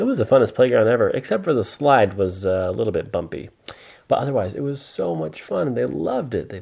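Just plain reading aloud

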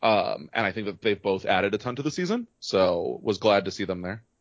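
In an ordinary speaking voice, a man talks at a fairly quick pace with a fairly low pitch. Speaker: podcast host. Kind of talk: casual chat.

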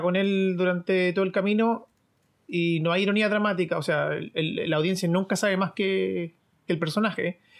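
At a moderate pace, a man with a high-pitched voice speaks with fairly even intonation. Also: very clean recording, silent background. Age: 20s. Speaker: podcast co-host. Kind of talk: casual chat.

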